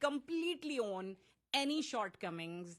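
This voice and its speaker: In a Pakistani accent, a woman speaks with lively intonation. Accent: South Asian (Pakistani) English. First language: Urdu. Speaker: playwright and director. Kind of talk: interview. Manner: halting, with many fillers and repeats.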